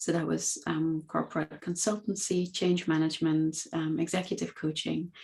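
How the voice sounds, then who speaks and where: Keeping very even loudness and hardly any pauses, a woman with a fairly low pitch speaks at a moderate pace in a monotone, flat intonation. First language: Dutch. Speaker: coaching academy founder. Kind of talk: podcast interview.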